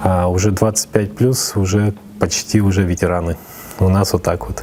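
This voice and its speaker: With noticeable background noise, a man with a very deep, low voice talks at a moderate pace using fairly even intonation. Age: 30s. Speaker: esports federation chairman. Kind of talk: interview. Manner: hesitant, many fillers.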